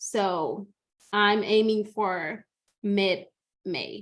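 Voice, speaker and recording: With a Spanish accent, a woman talks at a fairly high pitch. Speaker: mother and upcoming podcaster. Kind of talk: podcast interview. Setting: recorded podcast. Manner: halting.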